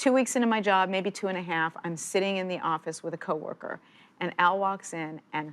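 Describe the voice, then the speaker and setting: In a very clean recording with a silent background, a woman speaks at a moderate pace in an animated tone. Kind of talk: interview.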